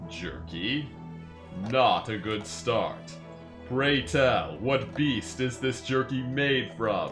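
Over clear background music, a man puts on a character voice at medium pitch and speaks at a very slow pace. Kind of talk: game dialogue read-along. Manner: formal, overprotective, stiff.

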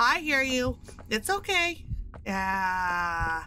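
A woman shouts in a raised, projected voice with a bright, sharp and animated tone. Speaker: gaming streamer. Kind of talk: live gameplay commentary. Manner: animated, screaming.

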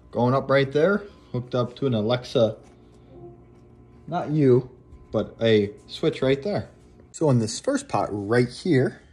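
Ordinary pitch variation from a man at a very slow pace, faint music in the background. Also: long, frequent pauses. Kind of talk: casual vlog chat. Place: home room. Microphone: phone near.

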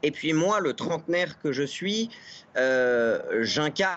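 Here a man is talking. His intonation is lively. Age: 30s. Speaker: political campaign activist. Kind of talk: TV interview. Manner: hesitant, many filler sounds. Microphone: video call.

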